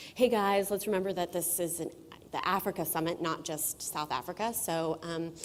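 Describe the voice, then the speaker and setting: At a moderate pace, a woman with an American accent and a fairly low pitch speaks with ordinary pitch variation. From United States. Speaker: conference moderator. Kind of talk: conference welcome speech. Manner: hesitant, many fillers.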